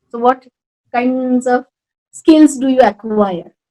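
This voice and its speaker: In a Rajasthani accent, a woman with a high pitch speaks at a fairly slow pace with ordinary pitch variation, in a dry, close sound with no echo. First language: Marwari. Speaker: Sanskrit teacher and language academy founder. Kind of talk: interview. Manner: halting.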